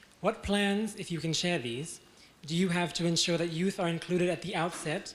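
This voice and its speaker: High-pitched male speech with fairly even intonation and audible room echo. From New Zealand Maori. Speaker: audience member, youth advocate. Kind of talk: question from audience. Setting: lecture theatre with audience. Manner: fast.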